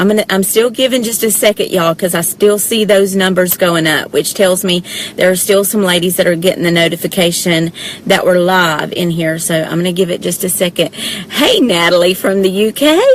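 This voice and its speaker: With a Southern US accent, a woman speaks in an animated tone at a fairly quick pace, her medium pitch showing ordinary variation. Noticeable background noise sits behind her. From US South, south Georgia. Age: 40s. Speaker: direct sales presenter. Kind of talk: live video chat. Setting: parked car.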